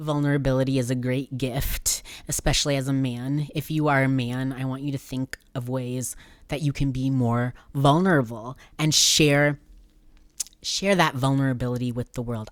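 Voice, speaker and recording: In a put-on character voice, a man booms at medium pitch with fairly even intonation and a moderate pace. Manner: booming, vulnerable.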